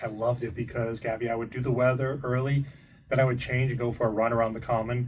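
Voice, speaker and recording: A very fast, monotone, flat male voice at medium pitch, somewhat breathy. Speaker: TV meteorologist. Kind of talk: interview.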